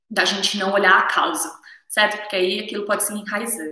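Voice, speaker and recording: A woman's voice with audible room echo. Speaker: naturopathy teacher. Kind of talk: live stream lecture. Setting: live stream on camera.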